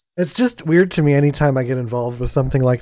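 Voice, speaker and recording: This is a male voice. The rise and fall of his pitch is typical. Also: very clean recording, silent background. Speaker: podcast host. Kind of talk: casual chat.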